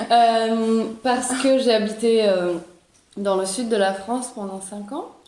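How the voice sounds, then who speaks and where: A woman's fairly high voice at a very slow pace, with big swings in loudness, fairly even intonation and audible room echo. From Italy, Florence. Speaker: podcast guest. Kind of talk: casual chat. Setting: outdoors. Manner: halting.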